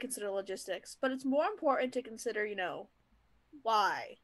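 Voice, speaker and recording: A woman with an American accent. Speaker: co-host. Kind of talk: casual chat. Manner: animated, enthusiastic, filler-heavy.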